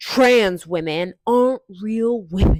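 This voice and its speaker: A put-on, female-sounding character voice at medium pitch for a woman, very slow in pace. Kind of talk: sneering. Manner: smug, condescending.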